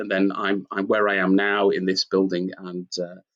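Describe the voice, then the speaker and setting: A man with a Manchester accent talks at a moderate pace in a fairly low pitch, his intonation flat and monotone. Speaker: company founder and CEO. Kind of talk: interview. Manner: hesitant with fillers.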